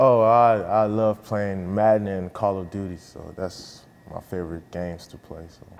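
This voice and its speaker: This man speaks at a moderate pace with a fairly low pitch and fairly even intonation. Noticeable background noise runs under his voice. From US, moved from Nigeria at nine. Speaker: college football player. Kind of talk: interview. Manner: casual, with frequent fillers.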